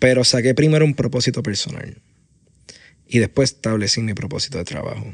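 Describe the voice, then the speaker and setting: Vocal fry runs through a fairly quick voice in a Puerto Rican accent with ordinary pitch variation. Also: man, medium pitch for a man. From Puerto Rico, Aguadilla. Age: 20s. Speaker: entrepreneur, founder of a media studio. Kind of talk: interview. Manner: halting, many fillers and repeated words.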